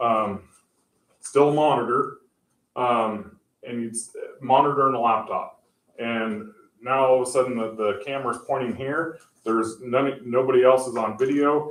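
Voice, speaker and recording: Speaking at a moderate pace with long, frequent pauses, a man keeps a medium pitch and fairly even intonation while his loudness swings widely. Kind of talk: public meeting presentation. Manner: halting, many fillers.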